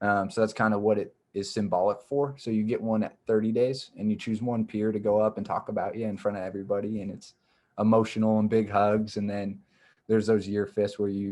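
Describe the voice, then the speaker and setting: A man speaks at a fairly quick pace in a fairly low pitch with a dark, mellow tone. His intonation stays monotone and flat. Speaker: nonprofit program director. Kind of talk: presentation to a club. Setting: video call.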